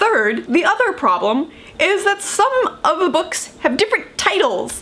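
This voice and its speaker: Speaking at a fairly slow pace with an American accent, a woman makes very wide pitch swings. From United States. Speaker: book vlogger. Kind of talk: casual vlog talk. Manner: conversational, many fillers.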